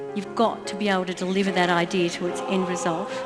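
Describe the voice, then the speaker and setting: A woman speaks at a moderate pace amid audible room echo, with music playing in the background. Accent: Australian. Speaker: motivational speaker. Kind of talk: keynote speech.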